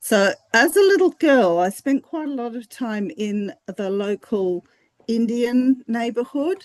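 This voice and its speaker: Against a quiet background, a woman with a fairly high pitch speaks at a fairly slow pace with very wide pitch swings, the sound dry and close with no echo. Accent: Australian. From Fiji, then Hong Kong; Australian parents. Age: 60s. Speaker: academic researcher. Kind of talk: interview.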